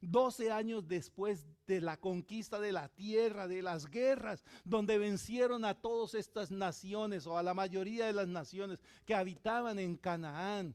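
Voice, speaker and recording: This man's voice is high-pitched and moves at a fairly slow pace. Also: ordinary pitch variation. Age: 60s. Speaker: pastor. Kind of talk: sermon.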